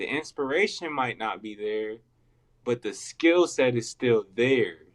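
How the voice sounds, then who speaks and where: Fairly slow speech in an American accent, with ordinary pitch variation and a dry, close sound with no echo. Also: man, medium pitch for a man. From California. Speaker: portrait artist, podcast guest. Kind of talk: casual interview answer. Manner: soft-spoken.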